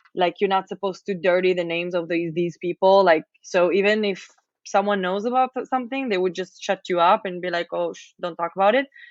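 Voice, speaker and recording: This is an unremarkable speaking voice. Its loudness swings widely. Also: woman, medium pitch for a woman, ordinary pitch variation, fairly quick pace. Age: 20s. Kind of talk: casual chat.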